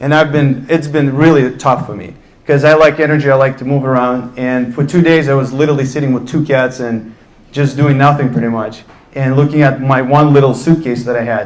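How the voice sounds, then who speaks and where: A man with a Russian accent at medium pitch, fairly quick and monotone, with flat intonation. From Russia, Ufa. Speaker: entrepreneur on a panel. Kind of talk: panel talk, personal story.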